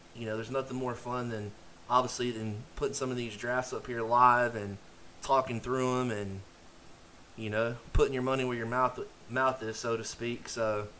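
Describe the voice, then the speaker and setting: A man at a moderate pace in monotone, flat intonation, with noticeable background noise. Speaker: fantasy football streamer. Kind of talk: live stream commentary. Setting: live stream. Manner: casual, filler-heavy.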